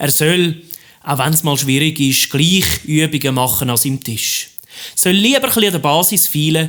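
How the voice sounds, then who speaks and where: The speaker uses a Swiss German accent, talking at a fairly slow pace with ordinary pitch variation. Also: man. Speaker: cabaret artist; teacher. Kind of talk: rhymed cabaret stage monologue. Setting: live stage recording.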